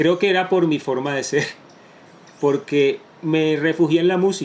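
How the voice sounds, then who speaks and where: Here is a man with an unremarkable speaking voice and fairly high pitch. He keeps a fairly slow pace and fairly even intonation. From Colombia, Caribbean coast (Barranquilla), moved to Bogotá at ten. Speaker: entrepreneur. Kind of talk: interview testimony.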